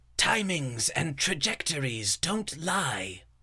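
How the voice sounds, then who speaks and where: Putting on a character voice, a man speaks with a fairly high pitch. His pace is very slow. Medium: audio drama. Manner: precise, calculating.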